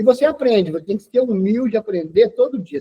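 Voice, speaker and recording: A man at a very fast pace, high in pitch, with lively intonation. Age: 60s. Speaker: teacher. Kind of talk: interview. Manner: hesitant, frequent fillers.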